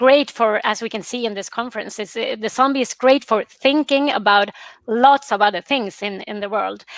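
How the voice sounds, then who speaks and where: In a Swedish accent, a woman talks at a moderate pace with fairly high pitch and ordinary pitch variation, in a dry, close sound with no echo on a very clean recording with a silent background. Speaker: professor. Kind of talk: panel discussion. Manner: halting.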